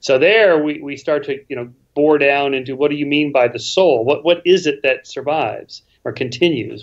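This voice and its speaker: An unremarkable speaking voice comes from a man at a fairly high pitch. He keeps a moderate pace with ordinary pitch variation. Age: 60s. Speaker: author and skeptic, interview guest. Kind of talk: casual interview conversation. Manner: many restarts and repetitions.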